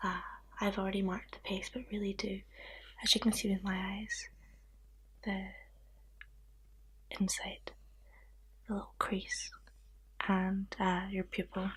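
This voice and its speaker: Soft-spoken and with a Scottish accent, a woman talks at a fairly slow pace with long, frequent pauses. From Scotland. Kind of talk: ASMR roleplay.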